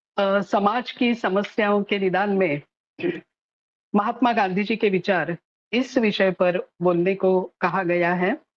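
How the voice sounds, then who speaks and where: Speaking with a non-native accent, a woman keeps her loudness very even while leaving long, frequent pauses. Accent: non-native Hindi, self-described weak Hindi. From Maharashtra, Pune. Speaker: social activist and author. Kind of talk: lecture. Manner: halting, with filler sounds.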